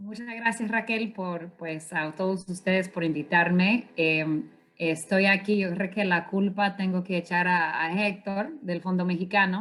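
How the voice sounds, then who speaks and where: Speaking at a fairly slow pace with hardly any pauses, a woman keeps a medium pitch and ordinary pitch variation. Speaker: climate finance consultant. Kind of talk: conference presentation. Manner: hesitant, many fillers.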